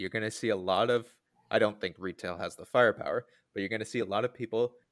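A man's fairly low voice with fairly even intonation, in a dry, close sound with no echo. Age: 20s. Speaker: startup founder. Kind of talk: casual chat. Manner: halting.

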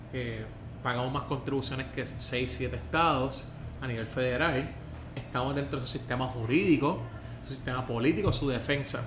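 A man talks in a Puerto Rican accent at a moderate pace. His intonation is fairly even, and room echo is audible. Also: medium pitch for a man. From Puerto Rico. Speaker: podcast host. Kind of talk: interview. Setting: in-person studio interview.

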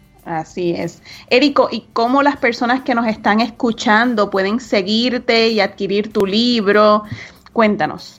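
This woman has an unremarkable speaking voice with a fairly high pitch. She speaks at a fairly slow pace with ordinary pitch variation. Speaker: podcast co-host, business coach. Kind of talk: casual talk show chat and advice segments.

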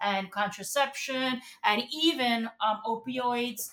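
A woman speaks with a Spanish accent at fairly high pitch. Her intonation is fairly even. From Puerto Rico. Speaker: former city council member and campaign manager. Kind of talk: interview.

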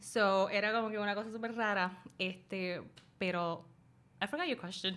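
A woman's bright, sharp tone at medium pitch, moderate pace and fairly even intonation. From Puerto Rico. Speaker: YouTuber and dog rescuer. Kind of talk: casual interview chat. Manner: code-switching Spanish and English.

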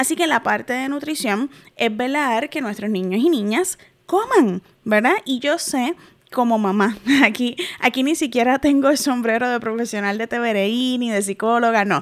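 A woman's high pitch with ordinary variation, at a moderate pace. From Puerto Rico. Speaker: podcast host, adoption and parenting educator. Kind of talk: educational monologue. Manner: warm, conversational.

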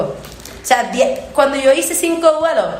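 A woman with a Puerto Rican accent talks at a moderate pace in an animated tone with ordinary pitch variation. Noticeable background noise and audible room echo fill the recording. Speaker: singer. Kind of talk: casual chat.

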